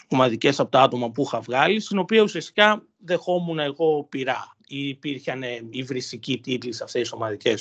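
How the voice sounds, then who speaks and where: A man has an unremarkable speaking voice at medium pitch and a moderate pace, with ordinary pitch variation. The sound is dry and close, without echo. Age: 20s. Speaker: university student. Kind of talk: personal testimony interview.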